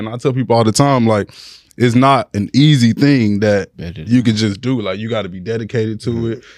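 A man with an American accent has an ordinary speaking voice at medium pitch, with ordinary pitch variation and a moderate pace. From Houston, Texas (Sugar Land / Missouri City). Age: 20s. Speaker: blog owner. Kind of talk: casual chat.

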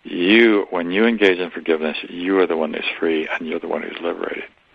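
A man speaks with a very deep, low pitch. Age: 70s. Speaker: author and spiritual teacher. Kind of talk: interview.

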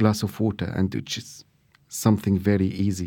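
A man with an Arabic accent speaks at a moderate pace in a dark, mellow tone, recorded very cleanly against a silent background. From Syria. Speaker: chef and restaurateur. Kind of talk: interview. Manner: halting.

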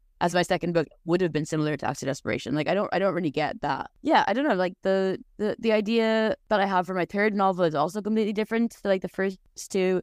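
Hardly pausing, a woman talks at a very fast pace with ordinary pitch variation. The sound is dry and close, with no echo. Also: medium pitch for a woman. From Ireland. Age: 30s. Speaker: novelist. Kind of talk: casual interview. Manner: hesitant, many fillers.

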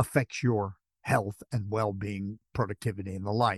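A quiet background and a dry, close sound with no echo, at a fairly slow pace. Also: man. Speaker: professor. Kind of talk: casual panel discussion.

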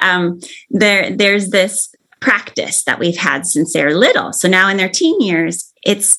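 A woman speaks in an ordinary speaking voice at a medium pitch. Her pace is fairly slow. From Arizona. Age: 50s. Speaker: family therapist. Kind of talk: interview.

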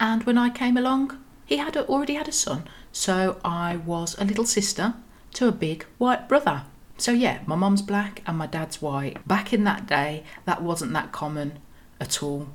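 A somewhat breathy woman in a Birmingham accent, medium in pitch with very wide pitch swings. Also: moderate pace. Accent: Birmingham (Brummie) English. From Birmingham, England. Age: 30s. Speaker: podcast host. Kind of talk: personal storytelling monologue.

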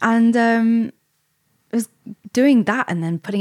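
In a dry, close sound with no echo, a woman with an East Midlands accent speaks at a moderate pace with ordinary pitch variation. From England, Derbyshire (East Midlands). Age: 20s. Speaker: content creator. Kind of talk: interview.

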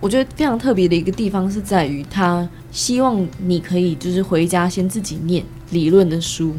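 A woman at a fairly low pitch with music in the background. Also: ordinary pitch variation, moderate pace. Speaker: university student. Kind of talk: casual chat.

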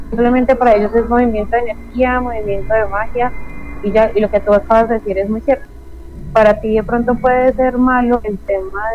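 This woman's fairly high voice moves fairly quickly, with ordinary pitch variation and noticeable background noise. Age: 30s. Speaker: witch and esoteric practitioner. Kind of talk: interview conversation.

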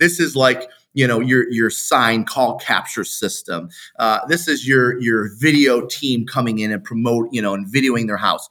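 The voice has an animated, passionate tone that sounds bright and sharp, in an American accent. It moves at a moderate pace with ordinary pitch variation. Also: man, medium pitch for a man. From Metro Detroit, Michigan. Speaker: real estate agent and coach. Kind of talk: interview, instructional talk.

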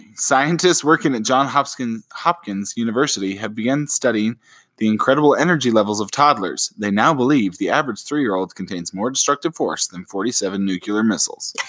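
A plain, everyday voice from a man at medium pitch, lively in intonation, fairly quick with hardly any pauses, in a very clean recording with a silent background. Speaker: parenting podcast co-host. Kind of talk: casual chat.

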